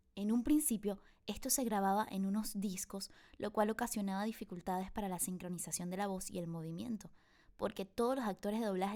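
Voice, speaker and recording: Speaking at a moderate pace with ordinary pitch variation, a woman at medium pitch has an unremarkable speaking voice. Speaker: voice actor. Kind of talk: online voice acting masterclass lecture. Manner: upbeat.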